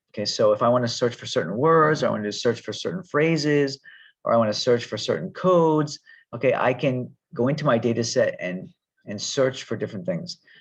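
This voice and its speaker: Over a quiet background, a man talks fairly quickly at a fairly high pitch, with vocal fry and lively intonation. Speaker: university lecturer. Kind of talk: online lecture tutorial. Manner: fast; hesitant, many fillers.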